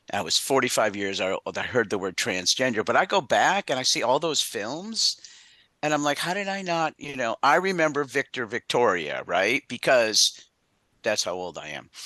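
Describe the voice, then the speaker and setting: This voice has a bright, sharp tone with vocal fry at a moderate pace. The recording is dry and close with no echo, over a quiet background. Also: man, fairly high pitch for a man. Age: 60s. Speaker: veteran panelist, ADA coordinator. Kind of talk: panel discussion. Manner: halting.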